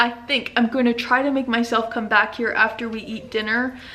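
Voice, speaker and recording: Noticeable background noise behind a woman's high-pitched voice. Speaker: vlogger and small business owner. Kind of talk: casual vlog talk.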